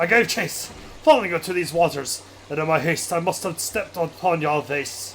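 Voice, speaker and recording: Putting on a pompous, theatrical character voice, a man sounds strained, high-pitched with ordinary pitch variation, at a moderate pace, over clear background noise. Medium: game stream. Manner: archaic, pompous, theatrical.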